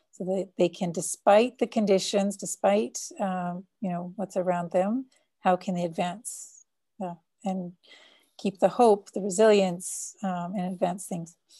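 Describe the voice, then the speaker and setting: A fairly slow, somewhat breathy woman's voice in a Canadian accent, medium in pitch, with fairly even intonation and a dark, mellow tone. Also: quiet background. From Canada. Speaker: social impact consultant. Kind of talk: interview. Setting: call.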